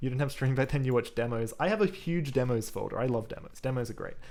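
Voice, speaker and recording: A man with an Australian accent, fairly high-pitched, talking very fast with ordinary pitch variation. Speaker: programming live streamer. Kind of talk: live coding stream chat. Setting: live stream.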